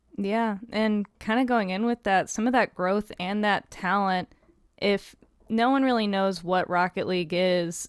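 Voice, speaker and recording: At a moderate pace, an unremarkable speaking voice with ordinary pitch variation comes through with a dry, close sound and no echo. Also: woman, very clean recording, silent background. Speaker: podcast host. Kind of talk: casual chat.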